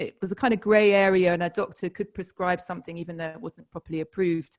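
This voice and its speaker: Using ordinary pitch variation, a woman speaks at a fairly low pitch in a British accent. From UK. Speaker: author. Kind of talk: interview.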